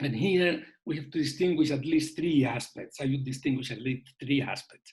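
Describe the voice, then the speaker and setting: This man speaks at a moderate pace with a fairly high pitch and a somewhat breathy sound. His intonation stays fairly even. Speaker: panelist on elections. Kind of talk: webinar presentation. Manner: halting.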